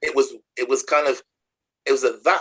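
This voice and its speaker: This man speaks with a Nottingham accent. His pace is moderate. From Nottingham, England. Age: 60s. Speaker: charity chief executive. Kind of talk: interview conversation. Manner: halting, repetitive.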